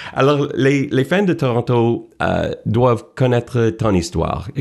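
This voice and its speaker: A man's medium-pitched voice moves along at a very slow pace. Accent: English. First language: English (speaking French). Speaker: sports TV host. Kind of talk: interview. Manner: halting, many hesitations.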